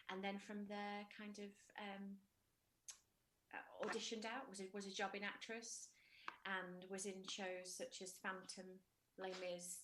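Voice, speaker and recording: Pausing long and often, a woman speaks in a monotone, flat way with a northern English accent. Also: medium pitch for a woman, fairly slow pace. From northern England, Widnes, Cheshire (Liverpool parents). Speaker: musical theatre soprano. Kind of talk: interview. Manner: halting, many fillers.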